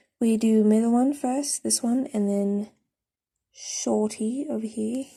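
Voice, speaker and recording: Very slow and somewhat breathy, a woman's fairly high voice has a dark, mellow tone and fairly even intonation. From South Africa. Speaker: drawing tutorial creator. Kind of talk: tutorial.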